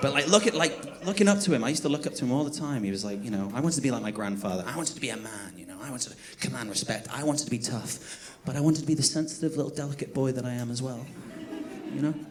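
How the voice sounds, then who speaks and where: Talking at a very fast pace with lively intonation and big swings in loudness, a fairly high-pitched man is heard through audible room echo and noticeable background noise. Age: 30s. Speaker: stand-up comedian. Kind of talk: stand-up. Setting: stage with audience.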